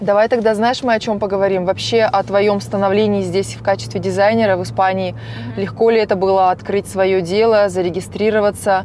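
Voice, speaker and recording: A woman's normal speaking voice at a medium pitch, fairly quick and with hardly any pauses, showing ordinary pitch variation. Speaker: interviewer. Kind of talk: casual interview.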